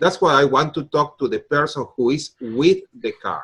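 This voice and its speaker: Against a quiet background, a man with a non-native accent talks at a moderate pace. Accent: noticeable foreign. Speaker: car mechanic. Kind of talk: interview.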